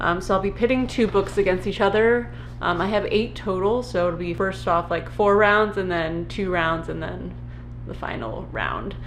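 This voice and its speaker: Moderate-paced speech from a woman, with noticeable background noise and audible room echo. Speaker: booktuber. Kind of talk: casual vlog talk. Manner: many filler ums.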